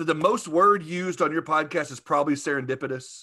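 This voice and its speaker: A fairly quick voice with a Southern US accent and a bright, sharp tone comes through in a very clean recording with a silent background. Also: man. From US South, Arkansas. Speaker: podcaster, insurance industry figure. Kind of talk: casual interview chat.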